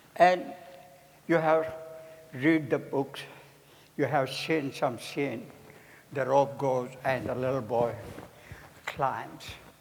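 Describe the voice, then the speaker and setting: In a room with audible echo, a man with a fairly high voice speaks very slowly and with fairly even intonation, leaving long, frequent pauses. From India. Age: 80s+. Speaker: juggler and variety performer. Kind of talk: stage demonstration to an audience. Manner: halting.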